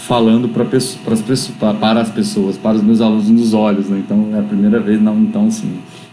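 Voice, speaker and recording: Delivery is fairly quick with monotone, flat intonation. Audible room echo and noticeable background noise are present. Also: man. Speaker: university physiology lecturer. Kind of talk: online lecture. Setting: recorded on a laptop at home. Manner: fast.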